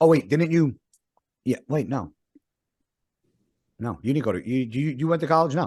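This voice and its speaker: An animated man with an American accent speaks in a fairly high pitch. He leaves long, frequent pauses. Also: lively intonation. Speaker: podcast host. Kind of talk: casual chat. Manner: loud; fast, animated.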